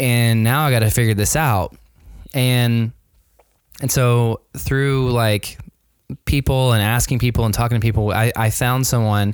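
At a moderate pace, a man with an ordinary speaking voice keeps his intonation fairly even. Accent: American. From US South, Nashville, Tennessee. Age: 40s. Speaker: designer and small business owner. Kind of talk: interview. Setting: remote call from home.

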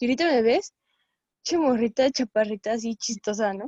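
This woman's high voice has a dark, mellow tone and lively intonation at a fairly quick pace. The sound is dry and close, with no echo. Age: 20s. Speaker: visual arts student. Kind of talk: casual chat.

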